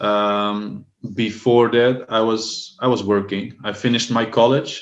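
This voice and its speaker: Fairly slow delivery with a Dutch accent and fairly even intonation. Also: man, medium pitch for a man. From Netherlands. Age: 30s. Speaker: language assistant. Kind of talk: casual chat.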